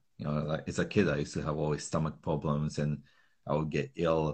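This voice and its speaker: A man's very deep, low voice with a Slovak accent, at a fairly quick pace. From Slovakia. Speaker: calisthenics trainer. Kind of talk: casual interview chat.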